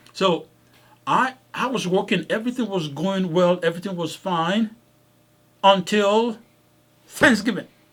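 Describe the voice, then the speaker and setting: This speaker has a slight non-native accent and talks at a fairly slow pace, with ordinary pitch variation. Long pauses come often. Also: man, high pitch for a man. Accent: slight foreign. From Africa. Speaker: podcast host, doctor. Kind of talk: casual podcast storytelling. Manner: repetitive, halting with restarts.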